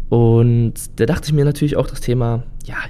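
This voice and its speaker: A man speaks with ordinary pitch variation. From Germany. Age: 30s. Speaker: podcaster. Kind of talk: solo podcast monologue. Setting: home recording in his lodging.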